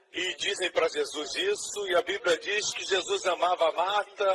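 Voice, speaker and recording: A man at a moderate pace with hardly any pauses. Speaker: preacher / pastor. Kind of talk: sermon preached to a congregation.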